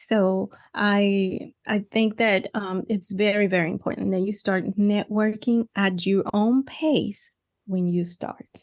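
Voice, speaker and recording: Speaking very slowly with a Mexican accent, a woman at medium pitch keeps a fairly even intonation, her voice dry and close with no echo over a quiet background. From Mexico. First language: Spanish. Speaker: podcaster and ministry coach. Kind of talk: interview conversation.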